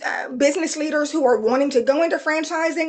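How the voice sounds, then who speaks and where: This woman has a high-pitched voice with a Southern US accent. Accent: Southern twang. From South Texas. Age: 50s. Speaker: AI consultant and trainer. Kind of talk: webinar presentation. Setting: live webinar.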